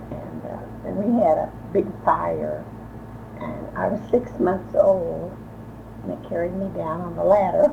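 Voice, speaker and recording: A woman with an American accent speaks at a fairly slow pace, with long, frequent pauses and big swings in loudness. Noticeable background noise and audible room echo fill the recording. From US Midwest, Columbus, Indiana. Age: 80s+. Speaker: elderly local resident, former secretary. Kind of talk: oral history interview. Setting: her home. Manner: halting, many hesitations.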